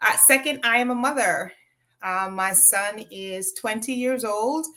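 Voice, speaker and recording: A woman is speaking. Her tone is bright and sharp. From Jamaica, raised in Westmoreland, then US as small child. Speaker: nonprofit consultant and crafter. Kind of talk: interview.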